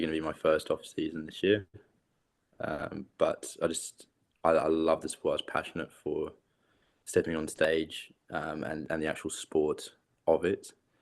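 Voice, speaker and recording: Speaking at a moderate pace with an English accent, a man leaves long, frequent pauses. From England. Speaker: competitive bodybuilder. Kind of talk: interview.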